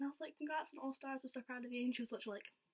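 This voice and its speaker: Somewhat breathy, a woman speaks in a Scottish accent. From Scotland. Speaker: vlogger. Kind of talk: casual storytelling vlog. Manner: animated. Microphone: laptop.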